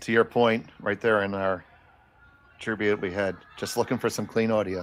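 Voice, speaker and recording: With an American accent, a man speaks at a moderate pace in a fairly low pitch and a monotone, flat intonation. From Philadelphia, US. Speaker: curling commentator. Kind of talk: live sports commentary.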